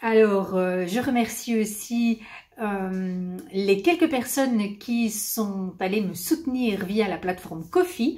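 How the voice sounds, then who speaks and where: Speaking with a Belgian accent, a woman uses a fairly high, somewhat breathy voice with a dark, mellow tone. Her intonation is lively and her pace very slow. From Belgium. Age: 50s. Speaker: knitting video host. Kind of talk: casual chat to viewers. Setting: at home.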